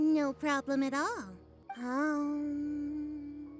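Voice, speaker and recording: Clear music sits in the background as a woman does a put-on character voice, high-pitched with fairly even intonation. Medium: video game. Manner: archaic, theatrical phrasing.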